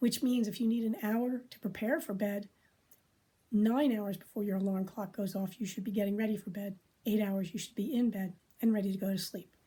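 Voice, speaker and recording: A woman with a dark, mellow, somewhat breathy voice speaks at a medium pitch and a fairly quick pace. Her intonation is fairly even in a very clean recording with a silent background. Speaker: doctor giving health advice. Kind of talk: educational talk.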